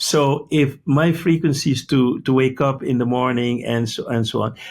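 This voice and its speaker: Here a man with a fairly high pitch speaks in a somewhat breathy voice. He keeps a moderate pace and ordinary pitch variation. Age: 70s. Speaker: medical doctor and healing speaker. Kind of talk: interview.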